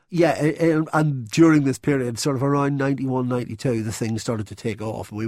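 A man with a Northern Irish accent talks at a fairly quick pace, his intonation lively. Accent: Northern Irish (Belfast). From Northern Ireland, Belfast. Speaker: magazine industry executive. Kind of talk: interview. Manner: hesitant, with fillers.

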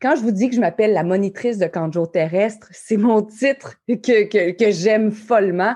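This woman has a fairly high pitch and a dark, mellow tone, with a Quebec accent. Her loudness stays very even, her pitch varies in an ordinary way, and the background is quiet. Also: moderate pace. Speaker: life coach and podcast host. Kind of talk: motivational talk. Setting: live audience recording.

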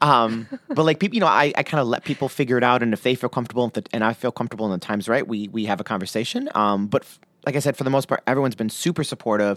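Very fast and with an American accent, a man talks at a medium pitch with ordinary pitch variation, in a dry, close sound with no echo, on a very clean recording with a silent background. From US, Lebanese and Sicilian American family. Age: 30s. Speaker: podcast guest sharing coming-out story. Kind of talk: casual interview chat. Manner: hesitant with many fillers.

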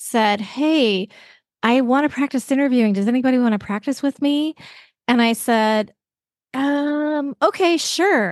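Against a quiet background, a woman with a Canadian accent talks at a moderate pace in a high pitch with an animated tone. Her pitch varies in an ordinary way, her loudness stays very even, and the sound is dry and close with no echo. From western Canada. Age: 50s. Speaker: podcaster and podcast instructor, former caregiver. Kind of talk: casual interview conversation.

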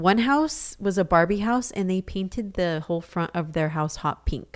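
At a fairly slow pace, a woman with an unremarkable speaking voice talks over a very clean recording with a silent background. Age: 30s. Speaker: podcast co-host. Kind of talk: casual chat.

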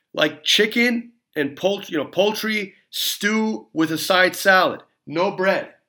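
A man's raised, projected voice, high-pitched, very slow, bright and sharp in tone, with ordinary pitch variation, on a very clean recording with a silent background. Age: 40s. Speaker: dentist and podcast host. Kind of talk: solo podcast monologue. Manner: casual, filler-heavy.

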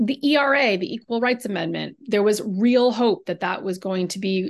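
A woman speaks in a normal speaking voice at medium pitch and a moderate pace, with ordinary pitch variation and a quiet background. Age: 40s. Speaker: novelist. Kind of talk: interview.

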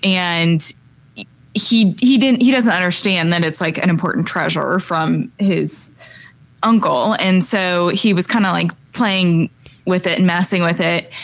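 Talking fairly slowly, a woman has a plain, everyday voice, medium in pitch and varying in an ordinary way. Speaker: podcast co-host. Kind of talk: casual chat.

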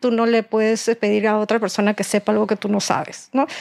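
A woman with a plain, everyday voice, fairly high in pitch, at a fairly quick pace, in a dry, close sound with no echo. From Peru. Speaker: real estate broker. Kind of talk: casual chat.

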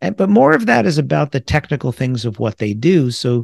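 Against a quiet background, a man with a slight New York accent talks at a medium pitch and a fairly quick pace. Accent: New York accent, mild. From New York area. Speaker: podcast host, sales trainer and speaker. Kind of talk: solo podcast monologue. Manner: fast.

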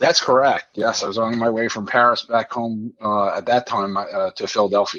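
A plain, everyday voice with an American accent, moderate pace, ordinary pitch variation and hardly any pauses. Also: man, medium pitch for a man. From Midland, Michigan. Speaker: 9/11 diverted passenger. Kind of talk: interview, personal story.

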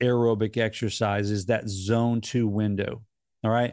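Behind a man's plain, everyday voice sits a quiet background. He talks at a medium pitch with fairly even intonation. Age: 50s. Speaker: health and fitness coach podcast host. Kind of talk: solo podcast monologue.

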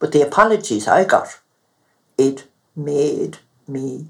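A woman speaks with a Clare accent. Her intonation is lively. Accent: Irish, Clare. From Mountshannon, east Clare, Ireland. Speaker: retired midwife. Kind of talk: elder telling a story.

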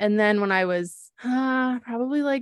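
A woman with an American accent and an ordinary speaking voice, ordinary pitch variation and a fairly slow pace, in a dry, close sound with no echo and a quiet background. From Wisconsin, US Midwest. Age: 30s. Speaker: podcast co-host, small business owner and mom. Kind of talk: casual personal storytelling. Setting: studio with sibling co-host.

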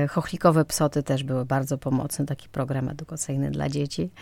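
A woman's very deep, low-pitched voice with a dark, mellow tone at a fairly quick pace. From western Ukraine, near Polish border. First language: Ukrainian (speaking Polish). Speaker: actress. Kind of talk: interview.

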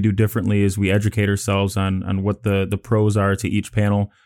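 At a very fast pace, a man with an American accent speaks in a dark, mellow, fairly low voice on a very clean recording with a silent background. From Chicago, Illinois. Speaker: solar company owner. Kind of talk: interview.

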